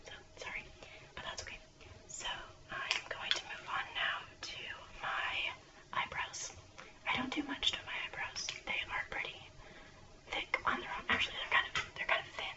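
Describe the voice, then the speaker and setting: Whispering at a moderate pace with long, frequent pauses, a woman swings widely in loudness over noticeable background noise. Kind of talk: ASMR whispered makeup chit chat. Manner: whispered, soft-spoken.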